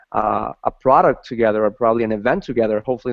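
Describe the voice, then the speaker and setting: The pace is fairly quick from a man with a Spanish accent. The sound is dry and close, with no echo. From Ecuador. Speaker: talk show host. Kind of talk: interview. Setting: video call.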